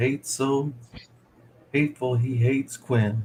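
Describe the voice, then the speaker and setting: Somewhat breathy and with fairly even intonation, a man speaks at a very slow pace. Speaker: streamer painting miniatures. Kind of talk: casual live stream chat. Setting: live stream.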